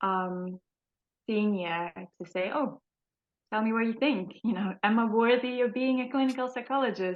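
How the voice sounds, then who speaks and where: A woman speaks with a non-native accent in a fairly high pitch. She leaves long, frequent pauses. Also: ordinary pitch variation, moderate pace. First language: not English. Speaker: trainee clinical psychologist. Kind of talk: casual interview chat. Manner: hesitant, many fillers.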